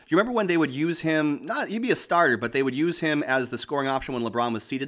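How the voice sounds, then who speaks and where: A man with an American accent talks very fast at a fairly high pitch, his intonation lively. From Boston. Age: 30s. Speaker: sports pundit. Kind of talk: casual chat.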